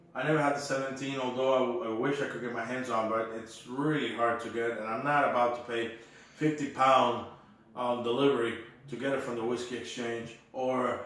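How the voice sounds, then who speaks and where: With a non-native accent, a man speaks at a medium pitch and a moderate pace, his intonation monotone and flat. Noticeable background noise and audible room echo are present. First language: not English. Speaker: whisky reviewer. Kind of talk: casual chat.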